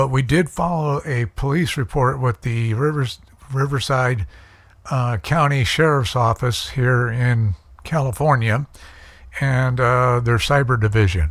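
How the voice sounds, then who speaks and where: Somewhat breathy male speech at a fairly slow pace with ordinary pitch variation, on a very clean recording with a silent background. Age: 60s. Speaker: YouTuber. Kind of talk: casual vlog monologue. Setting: at home. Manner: halting, many fillers.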